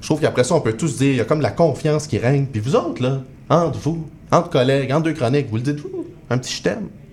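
A man talks at a very fast pace with a fairly high pitch. His pitch varies in an ordinary way over noticeable background noise. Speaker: comedy writer. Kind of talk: casual chat.

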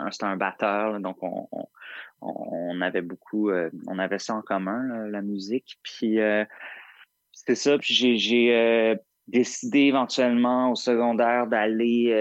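The delivery comes at a very slow pace with fairly even intonation. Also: man, medium pitch for a man. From Montreal, Quebec. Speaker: singer-songwriter. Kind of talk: interview. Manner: halting, many repetitions.

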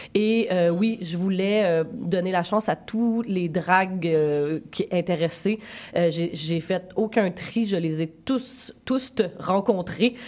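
With a Quebec accent, a woman speaks at a medium pitch and a very slow pace. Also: ordinary pitch variation. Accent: Québécois French. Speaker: film director. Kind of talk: interview.

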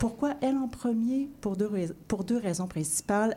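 Somewhat breathy and dark, mellow in tone, a woman's voice shows ordinary pitch variation. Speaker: radio literary columnist. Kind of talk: reading aloud. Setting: radio studio.

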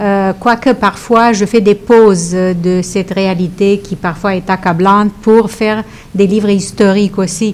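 Over noticeable background noise, a woman of medium pitch speaks at a very slow pace in a monotone, flat way. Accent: Romanian. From Romania. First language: Romanian (speaking French). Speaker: author and teacher. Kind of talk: radio interview. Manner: halting.

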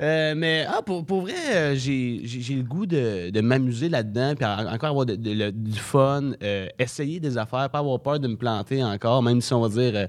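A man talks in a normal speaking voice at medium pitch, with ordinary pitch variation. His pace is fairly slow, with hardly any pauses. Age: young. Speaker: comedy school graduate. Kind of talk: casual interview.

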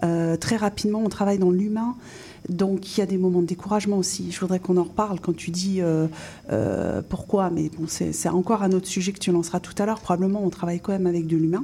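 A woman's medium-pitched voice, somewhat breathy with a dark, mellow tone, at a fairly quick pace with fairly even intonation. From France. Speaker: business coach. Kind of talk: radio interview. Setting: studio.

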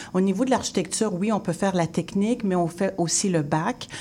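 Her tone dark and mellow, a woman speaks at a medium pitch. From Haitian heritage, Quebec. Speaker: interior designer and teacher. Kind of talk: radio interview.

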